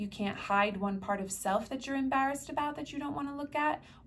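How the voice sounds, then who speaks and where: A woman's somewhat breathy voice with an American accent, at a very fast pace. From US Northeast, New Jersey. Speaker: spiritual healer. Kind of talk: guided meditation talk. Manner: casual with fillers.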